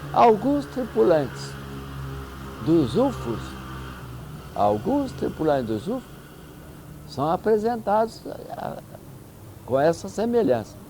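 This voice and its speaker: With music in the background, the speech moves at a very slow pace, broken by long, frequent pauses and big swings in loudness. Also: man. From Minas Gerais, Brazil. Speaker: UFO researcher. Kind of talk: interview answer.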